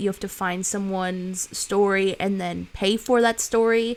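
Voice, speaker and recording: Here a woman speaks at a medium pitch. The recording is very clean, with a silent background. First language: Spanish. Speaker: streamer, film student. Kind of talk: casual chat. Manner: animated.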